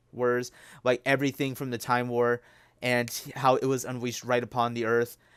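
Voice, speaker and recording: The recording is very clean, with a silent background. A man of medium pitch speaks at a fairly quick pace. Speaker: YouTuber reviewing TV episodes. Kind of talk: casual review monologue. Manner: fast; animated.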